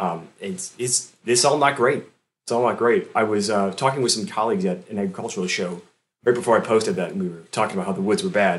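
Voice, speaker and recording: With an American accent, a man talks at a very fast pace in a medium pitch, his intonation lively. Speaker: forester. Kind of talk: casual interview.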